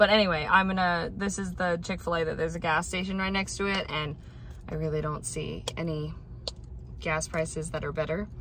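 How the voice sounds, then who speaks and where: The woman talks at a moderate pace, and audible room echo follows her words. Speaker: vlogger. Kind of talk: casual vlog.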